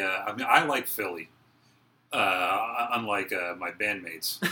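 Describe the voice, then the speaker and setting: A man at a fairly low pitch over noticeable background noise. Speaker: podcast co-host. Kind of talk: casual conversation.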